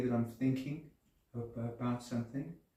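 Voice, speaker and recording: There is audible room echo around a man's voice. He keeps a moderate pace and fairly even intonation. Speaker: person with Parkinson's disease, Alexander Technique student. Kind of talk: interview testimony. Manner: halting, repeats words; calm.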